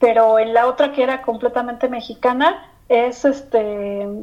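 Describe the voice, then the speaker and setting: The woman's tone is dark and mellow. Her pitch is fairly high, with ordinary variation. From Mexico. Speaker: employee of the guest's company. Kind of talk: interview.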